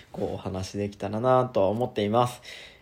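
With ordinary pitch variation and a moderate pace, a man talks in a normal speaking voice. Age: 20s. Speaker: schoolteacher. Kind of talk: solo monologue podcast. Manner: casual, relaxed.

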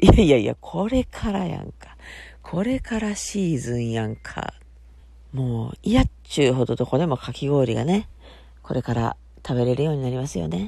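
Relaxed and dark, mellow in tone, a woman with a Kansai accent speaks at a very deep, low pitch with very wide pitch swings on a very clean recording with a silent background. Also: moderate pace. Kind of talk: casual solo talk. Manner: relaxed, chatty.

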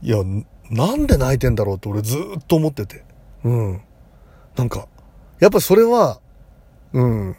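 A man with a dark, mellow tone and a somewhat breathy voice talks at a moderate pace and medium pitch, with lively intonation, big swings in loudness, and long, frequent pauses. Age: 40s. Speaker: psychic comedian and podcaster. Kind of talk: casual monologue. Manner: rambling, conversational.

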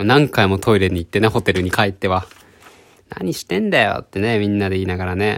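Speaking at a fairly quick pace, a man uses a fairly low pitch. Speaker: podcaster. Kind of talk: solo storytelling. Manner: animated.

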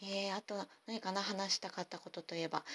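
The speaker is a woman at a medium pitch. The sound is dry and close, without echo. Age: 40s. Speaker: podcast host. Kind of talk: casual monologue. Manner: fast.

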